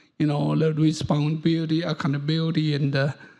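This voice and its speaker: In monotone, flat intonation, a man talks at a fairly high pitch. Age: 70s. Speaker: audience member, professor. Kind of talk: audience question at panel. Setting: conference hall. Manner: halting, repetitive.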